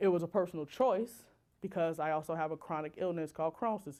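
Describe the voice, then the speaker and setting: Fairly low-pitched woman at a fairly quick pace, on a very clean recording with a silent background. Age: 30s. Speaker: designer and social impact speaker. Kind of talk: talk to an audience.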